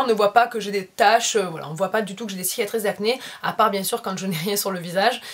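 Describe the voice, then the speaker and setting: A woman speaks with ordinary pitch variation. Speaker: beauty vlogger. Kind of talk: makeup tutorial. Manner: halting, many filler sounds.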